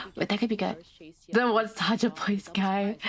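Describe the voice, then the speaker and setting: A loud, animated woman's voice, fairly high in pitch, at a moderate pace. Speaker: VTuber streamer. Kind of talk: live game stream commentary and chat.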